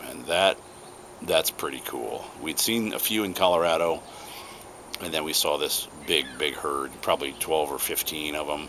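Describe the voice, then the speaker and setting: A man's very deep, low voice in a relaxed tone, at a moderate pace with ordinary pitch variation, over noticeable background noise. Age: 60s. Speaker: pipe-smoking video blogger. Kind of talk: casual chat. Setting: outdoors on home porch. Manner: relaxed, halting with repetitions.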